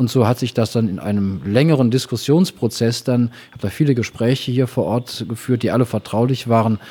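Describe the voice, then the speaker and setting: This man speaks at a moderate pace in a medium pitch, his tone dark and mellow, with ordinary pitch variation. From Rhineland, Germany (Engelskirchen). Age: 50s. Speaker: city treasurer and lawyer. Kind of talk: interview.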